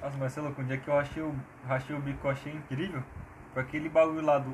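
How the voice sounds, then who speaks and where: Somewhat breathy, a man speaks very fast in a fairly high pitch. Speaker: podcast co-host. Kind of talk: casual chat. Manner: animated. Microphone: cheap Samsung earphone mic.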